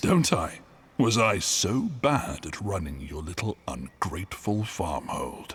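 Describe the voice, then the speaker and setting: Putting on a character voice, a man speaks at a fairly low pitch and a fairly slow pace, his pitch swinging very widely. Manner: angry and bitter.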